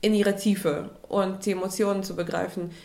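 A woman at a medium pitch and moderate pace, with audible room echo. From Russia (Moscow). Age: 30s. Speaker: photographer. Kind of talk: interview.

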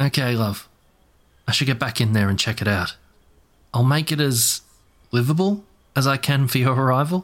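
Pausing long and often, a man talks at a medium pitch with ordinary pitch variation. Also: moderate pace, very even loudness, very clean recording, silent background. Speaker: audio drama narrator and actor. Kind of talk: ghost story narration, gothic audio drama.

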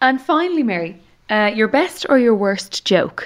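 A woman with an Irish accent speaks with lively intonation. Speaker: podcast host. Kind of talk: casual interview. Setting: studio.

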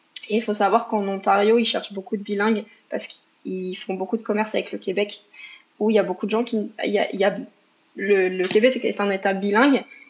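A woman talks at a fairly quick pace at medium pitch, her intonation monotone and flat. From Paris region, France. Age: 30s. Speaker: single mother. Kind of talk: personal testimony interview.

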